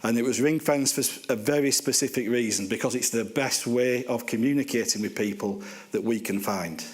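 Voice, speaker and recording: A man's medium-pitched voice in a Lancashire accent, fairly quick and very even in loudness, with ordinary pitch variation and noticeable background noise. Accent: Bolton. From northern England, Bolton. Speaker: housing organisation chief executive. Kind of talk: conference talk. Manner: casual, hesitant with fillers.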